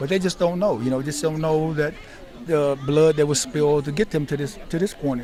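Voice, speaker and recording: Someone talks at a fairly quick pace with an American accent. Crowd noise fills the background. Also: man. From US South, Memphis, Tennessee. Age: 60s. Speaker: military veteran, veterans' organization leader. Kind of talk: interview. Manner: halting, many repetitions.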